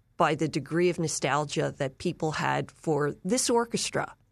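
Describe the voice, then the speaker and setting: Over a quiet background, a woman with an American accent talks with lively intonation and vocal fry. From Philadelphia, US. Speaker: author and filmmaker, former journalist. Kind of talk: interview.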